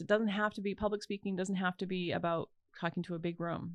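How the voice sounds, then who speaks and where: A woman with a fairly low pitch and vocal fry comes through with a dry, close sound with no echo. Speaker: voice actor and speaking coach. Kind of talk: interview conversation. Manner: stutter; animated.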